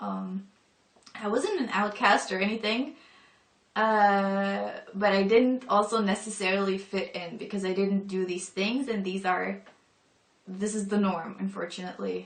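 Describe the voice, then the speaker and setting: A woman speaks at a fairly slow pace in a somewhat breathy voice. Her pitch is medium and her intonation fairly even. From northern Europe. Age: 20s. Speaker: convert to Islam. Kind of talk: personal testimony. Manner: casual, hesitant with fillers.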